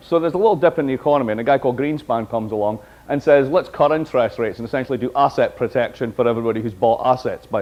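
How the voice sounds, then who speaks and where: A man talks very fast in a Scottish accent. His tone is animated and his intonation lively. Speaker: professor. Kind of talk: lecture.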